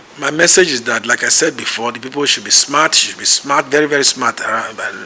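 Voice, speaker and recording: A man talks at a fairly quick pace with a fairly high pitch. Noticeable background noise can be heard. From Nigeria, Benin City. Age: 60s. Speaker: political candidate. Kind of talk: interview.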